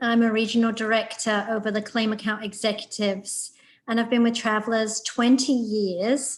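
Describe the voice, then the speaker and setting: Somewhat breathy, a woman's voice sits at a fairly high pitch. Her pace is moderate. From England, Nottingham. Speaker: insurance regional director. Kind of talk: self-introduction in webinar.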